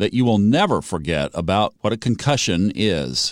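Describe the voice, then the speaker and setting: A man's plain, everyday voice at medium pitch, with lively intonation and a moderate pace, on a very clean, dry, close recording with a silent background and no echo. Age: 60s. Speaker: radio co-host. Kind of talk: radio interview.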